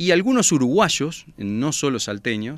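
A very slow pace with very wide pitch swings in a very clean recording with a silent background. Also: man. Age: young. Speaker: TV presenter. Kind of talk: interview. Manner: hesitant fillers.

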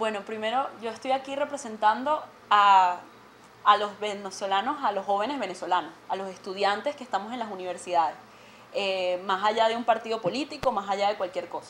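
A woman's fairly quick voice with ordinary pitch variation over light background noise. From Venezuela. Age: 20s. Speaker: student representative; guest. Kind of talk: TV interview. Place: studio.

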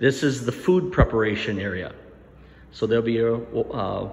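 At a moderate pace, a man says his lines. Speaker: tour guide for a school building. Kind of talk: walking tour narration. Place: empty room. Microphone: phone near.

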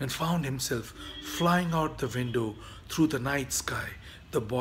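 Reading aloud in a natural voice

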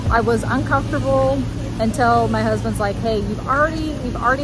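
A woman talks at a fairly quick pace in a dry sound with no echo, over loud background noise. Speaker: travel vlogger. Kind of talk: casual vlog chat. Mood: calm, encouraging. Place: waterside. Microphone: phone near.

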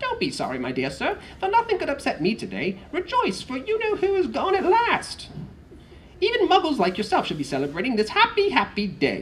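Squeaky and high-pitched, this put-on character voice runs at a fairly quick pace. Background noise is clearly heard. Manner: jubilant, delighted.

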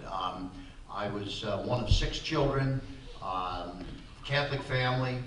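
A man with light background noise and audible room echo. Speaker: interview guest. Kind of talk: interview answer. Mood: relaxed reminiscing. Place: hall.

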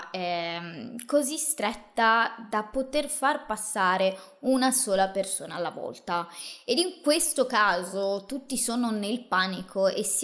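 Speaking at a very slow pace in a serious tone, a woman is heard over a quiet background. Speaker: true crime host. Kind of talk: true-crime narration, solo monologue to camera. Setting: video channel, solo presenter. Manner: measured, serious storyteller pacing with emphatic asides; casual, chatty, addressing viewers directly. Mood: serious, dramatic storytelling. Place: home room. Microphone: studio mic.

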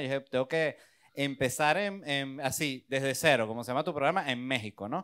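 A man's fairly high voice with fairly even intonation over a quiet background. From Venezuela. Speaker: stand-up comedian. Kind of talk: interview. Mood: relaxed, joking storytelling. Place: studio. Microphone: handheld.

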